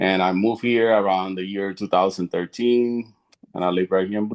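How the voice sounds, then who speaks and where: In a Puerto Rican accent, a man speaks at a fairly low pitch and a fairly quick pace, his intonation flat and monotone, the sound dry and close with no echo. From Puerto Rico. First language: Spanish. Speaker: retired Marine veteran. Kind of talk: panel self-introduction.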